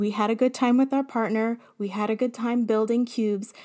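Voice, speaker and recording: Her voice sits at a fairly high pitch with a dark, mellow tone, and the woman keeps a moderate pace. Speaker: podcast host and elementary teacher. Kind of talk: solo podcast monologue.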